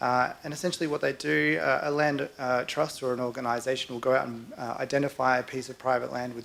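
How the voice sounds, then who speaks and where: Medium in pitch, a man talks at a very fast pace with ordinary pitch variation. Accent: Australian. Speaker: conservation researcher. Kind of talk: conference talk. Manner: hesitant, many fillers.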